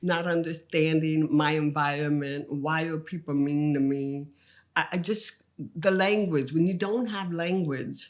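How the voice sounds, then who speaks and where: Speaking at a fairly slow pace in an English accent, a woman uses a very deep, low pitch with ordinary pitch variation. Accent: English-tinged with speech impediment. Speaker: comedian. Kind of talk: podcast interview.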